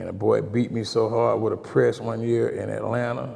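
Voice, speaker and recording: With an Alabama accent, a man talks at a fairly slow pace against noticeable background noise. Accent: Southern US (Alabama). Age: 60s. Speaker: girls basketball coach. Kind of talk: casual interview.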